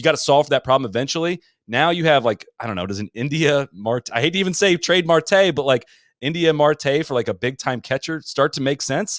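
A man with an American accent and an unremarkable speaking voice, fairly high pitch, lively intonation and a fairly quick pace, in a very clean recording with a silent background and a dry, close sound with no echo. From Ohio (Columbus). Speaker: golf podcast host. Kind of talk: casual interview.

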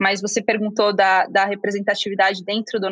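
Recorded dry and close without echo, a woman with a fairly high pitch and a bright, sharp tone talks at a moderate pace. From Brazil, Curitiba. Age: 20s. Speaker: venture capital investor. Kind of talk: interview.

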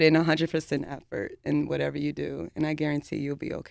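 Her tone is animated. The woman speaks in an American accent. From Dallas, Texas. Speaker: military veteran in tech. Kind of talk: interview. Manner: animated, laughs often.

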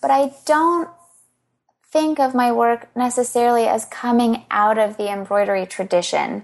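Delivered at a moderate pace with lively intonation, this voice has an American accent. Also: woman, high pitch for a woman. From US, Baltimore, Maryland. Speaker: fiber artist. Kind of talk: interview.

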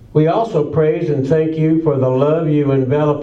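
Against noticeable background noise, a man talks at a fairly slow pace with a fairly high pitch and fairly even intonation. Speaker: worship leader. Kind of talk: prayer. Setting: church.

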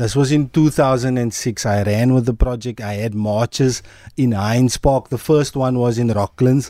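A fairly slow delivery with a dark, mellow tone, ordinary pitch variation and a very clean recording over a silent background. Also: man. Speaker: community activist, documentary maker. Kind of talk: radio interview.

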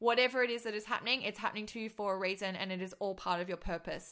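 In an American accent, a woman speaks at a medium pitch with a bright, sharp, animated tone. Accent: Australian, briefly slipping to American. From Australia. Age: 20s. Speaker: podcast host and business coach. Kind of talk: casual monologue.

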